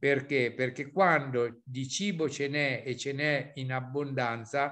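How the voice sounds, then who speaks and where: Fairly even in intonation and fairly slow in pace, a man talks over a quiet background. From central Italy, Sibillini area; central Italy. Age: 60s. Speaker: beekeeping professor. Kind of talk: webinar presentation. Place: home room. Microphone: video call.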